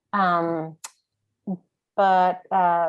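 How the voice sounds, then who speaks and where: With music in the background, a woman speaks in an American accent. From US East Coast. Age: 60s. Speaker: whiskey educator. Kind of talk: online class. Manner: halting, many fillers.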